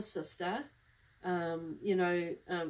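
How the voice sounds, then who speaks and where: The speaker is a woman with a New Zealand accent. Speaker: psychic medium. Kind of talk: live tarot-style reading monologue. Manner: fast; casual, rambling with fillers.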